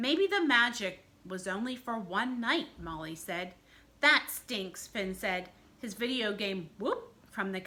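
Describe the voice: Here is plain reading aloud with lively intonation.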